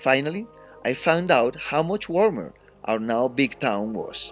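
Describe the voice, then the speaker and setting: A man with a strong Colombian accent at a fairly slow pace, music in the background. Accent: thick Colombian Spanish. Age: 50s. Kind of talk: read-aloud class assignment narration.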